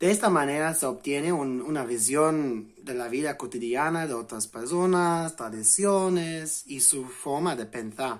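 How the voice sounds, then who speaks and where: In an English accent, a man talks at a fairly slow pace and a fairly high pitch, with ordinary pitch variation. The recording is very clean and the background silent. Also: hardly any pauses. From England. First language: English (speaking Spanish). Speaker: language learning vlogger. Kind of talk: vlog explainer. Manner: halting, self-correcting.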